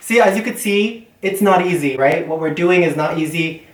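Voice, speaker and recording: With a Canadian accent and an upbeat tone, a man speaks at a moderate pace with ordinary pitch variation over noticeable background noise. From Canada. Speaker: language learning YouTuber. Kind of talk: casual talk to camera.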